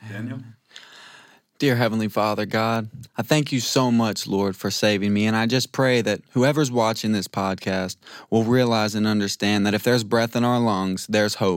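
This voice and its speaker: Recorded very cleanly against a silent background, a man with an unremarkable speaking voice talks at medium pitch and a moderate pace with fairly even intonation. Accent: American. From Louisiana, US South. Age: 20s. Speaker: Bible school student. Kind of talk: testimony.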